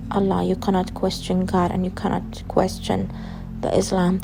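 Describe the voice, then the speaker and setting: A woman with an Arabic accent, amid noticeable background noise and audible room echo. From Saudi Arabia. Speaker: asylum seeker. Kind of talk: testimony.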